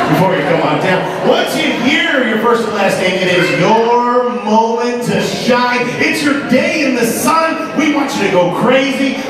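A man at a fairly slow pace with hardly any pauses, amid audible room echo and loud background noise. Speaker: announcer, emcee, comedian. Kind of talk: live audience warm-up. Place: stage.

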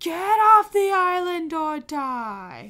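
An extremely high-pitched, put-on character voice. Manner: irritable, dismissive.

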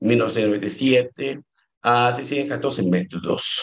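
A man with a Brazilian accent speaks against a quiet background. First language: Portuguese (speaking Spanish). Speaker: doctoral researcher; presenter. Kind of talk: conference talk. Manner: halting. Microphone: video call.

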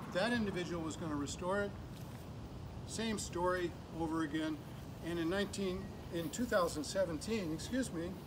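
Pausing long and often, a man talks at a fairly slow pace and high pitch over noticeable background noise. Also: ordinary pitch variation. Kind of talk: walkaround commentary. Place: garden. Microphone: camera far.

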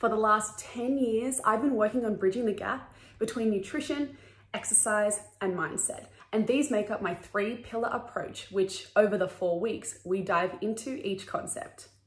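A woman at a moderate pace, with ordinary pitch variation and audible room echo. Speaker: wellness course creator.

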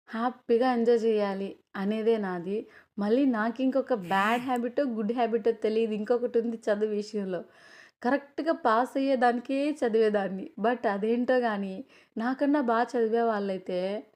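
Against a quiet background comes an unremarkable speaking voice. Its intonation is fairly even. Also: woman, fairly high pitch for a woman. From Andhra Pradesh, near Nellore. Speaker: cooking vlogger. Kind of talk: casual cooking vlog.

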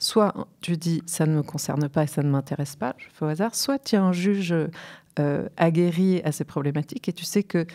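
A woman's fairly low, dark, mellow voice at a moderate pace, ordinary pitch variation, over a quiet background. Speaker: guest. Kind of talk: interview answer. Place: studio. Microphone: studio mic.

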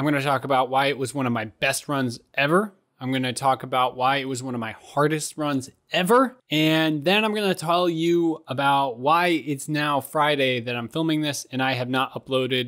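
Over a quiet background, a man speaks at a moderate pace with hardly any pauses. His pitch varies in an ordinary way. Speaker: running vlogger. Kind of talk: casual vlog recap. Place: home room. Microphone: studio mic.

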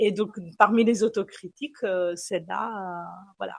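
Speaking in an Italian accent, a woman keeps a medium pitch. Her pace is fairly slow and her intonation fairly even. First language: Italian (speaking French). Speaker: philosophy lecturer. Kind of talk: panel discussion. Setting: café with live and online audience.

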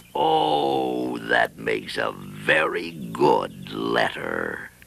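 Raspy and very deep, a man's put-on character voice moves at a very slow pace. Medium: cartoon.

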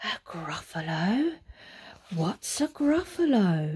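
Using a put-on character voice, a woman talks very slowly at medium pitch with very wide pitch swings. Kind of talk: bedtime story. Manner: smooth, wheedling, then alarmed.

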